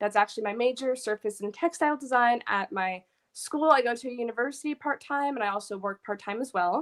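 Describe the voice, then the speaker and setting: A woman with a high-pitched voice talks at a very fast pace, with hardly any pauses and ordinary pitch variation, in a dry, close sound with no echo. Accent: American. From New York. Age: 20s. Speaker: guest panelist, university student. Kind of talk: casual panel discussion.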